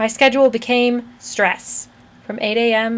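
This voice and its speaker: A woman speaks quietly, her fairly high voice kept to fairly even intonation. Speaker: college student. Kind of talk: spoken word poetry performance.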